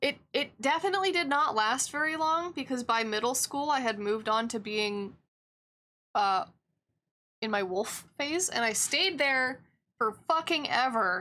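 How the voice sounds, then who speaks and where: With a raised, projected voice, a woman speaks at a high pitch and a fairly slow pace, her tone bright and sharp, her intonation lively and her loudness very even. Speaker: streamer and digital artist. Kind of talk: casual chat while drawing on a live stream.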